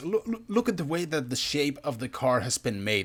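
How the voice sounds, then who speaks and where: The recording is very clean, with a silent background. A man speaks at a fairly high pitch with very wide pitch swings. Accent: non-native. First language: not English. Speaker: gaming youtuber. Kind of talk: gameplay commentary. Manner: animated.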